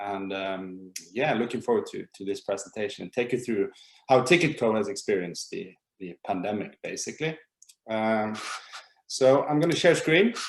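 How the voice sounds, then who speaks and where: A man with an unremarkable speaking voice uses lively intonation, his loudness swinging widely. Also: medium pitch for a man, moderate pace. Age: 30s. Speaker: startup co-founder. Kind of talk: webinar presentation.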